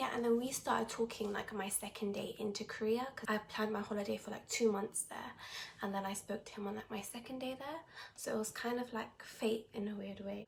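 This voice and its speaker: A woman speaks with a British accent at a fairly quick pace. Her pitch is fairly high and her intonation fairly even. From Britain. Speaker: vlogger in international couple. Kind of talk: casual chat.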